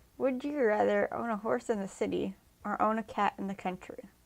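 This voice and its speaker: A woman speaks softly, her pitch fairly high. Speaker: YouTuber. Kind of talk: casual game commentary. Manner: soft-spoken naturally; louder than usual for recording.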